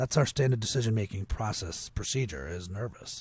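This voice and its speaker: At a fairly slow pace, a man with an American accent speaks in a medium, somewhat breathy pitch with lively intonation, in a very clean recording against a silent background. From Potomac, Maryland, US. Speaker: agency founder and author. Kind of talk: casual interview.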